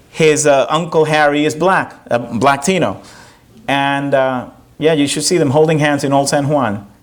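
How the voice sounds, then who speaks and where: At a moderate pace and fairly high pitch, a man talks in a space with audible room echo. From Puerto Rico. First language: Spanish. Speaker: professor and performer. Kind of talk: audience Q&A after one-man show. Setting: theater stage with audience. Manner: animated.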